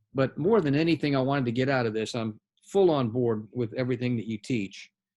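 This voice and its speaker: At a moderate pace comes an ordinary speaking voice. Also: man. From US South. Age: 60s. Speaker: general contractor. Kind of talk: casual chat.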